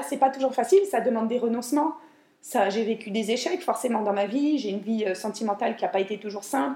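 Her tone is dark and mellow. This woman talks at a fairly quick pace with lively intonation. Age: 40s. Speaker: home organizing coach and podcaster. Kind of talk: solo podcast monologue. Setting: home kitchen. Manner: hesitant, many fillers. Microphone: new microphone, room echo.

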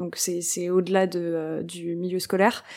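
Over a silent background on a very clean recording, a woman speaks at a fairly slow pace with a dark, mellow tone and fairly even intonation. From France. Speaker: podcast host. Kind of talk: scripted intro and outro; casual interview.

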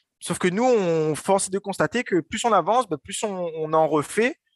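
A man speaks at a high pitch in an animated tone with lively intonation. The background is quiet. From Réunion, Saint-Denis. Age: 20s. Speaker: entrepreneur. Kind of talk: interview. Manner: halting.

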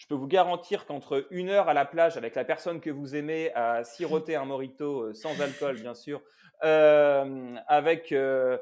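Talking at a fairly slow pace, a man with a plain, everyday voice speaks at a fairly high pitch. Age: 30s. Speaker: work psychologist. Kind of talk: interview. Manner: repeats words often.

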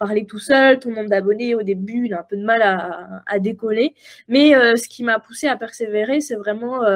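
A woman speaks at a fairly high pitch with ordinary pitch variation. Her pace is moderate. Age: 20s. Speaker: copywriting mentor and entrepreneur. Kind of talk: casual interview chat. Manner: animated, frequent laughter.

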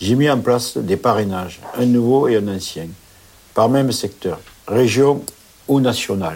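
Pausing long and often, a man speaks at a fairly slow pace with a medium pitch and ordinary pitch variation. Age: 50s. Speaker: transport operations manager. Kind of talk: interview.

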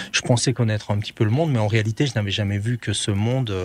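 This man's voice sits fairly low, somewhat breathy, with ordinary pitch variation on a very clean recording with a silent background. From Belgium. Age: 50s. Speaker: medic, writer and former soldier. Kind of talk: interview. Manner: hesitant.

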